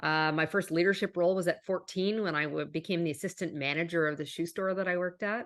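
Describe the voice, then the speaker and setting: At a very fast pace, a woman with a slight Canadian accent speaks in a medium pitch. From western Canada, Calgary. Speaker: business executive and author. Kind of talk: interview.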